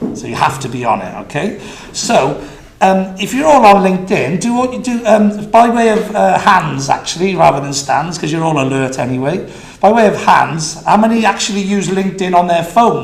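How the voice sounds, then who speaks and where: A man with a Welsh accent and high pitch speaks with lively intonation, amid noticeable background noise and audible room echo. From Wales. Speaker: business consultant. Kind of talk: conference talk. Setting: stage with audience. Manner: fast.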